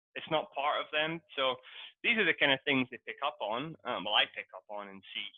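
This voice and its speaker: At a moderate pace, a man with a Scottish accent speaks in a fairly high voice with very wide pitch swings and big swings in loudness. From Scotland. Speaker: English teacher. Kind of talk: casual chat.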